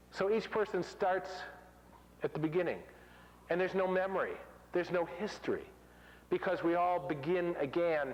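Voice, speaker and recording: Pausing long and often, a man speaks at a high pitch with fairly even intonation and very even loudness, with audible room echo. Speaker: conference speaker. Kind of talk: conference talk. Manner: fast.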